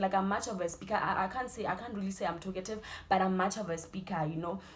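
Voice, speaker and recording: A woman speaks with a South African accent, her medium pitch carried on fairly even intonation. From South Africa, Limpopo. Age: 20s. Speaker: student youtuber. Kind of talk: casual Q&A interview.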